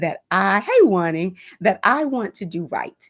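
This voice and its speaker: The recording is dry and close, with no echo. A woman's pitch swings very widely throughout. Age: 60s. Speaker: home decor YouTuber. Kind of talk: live stream chat. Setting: live stream.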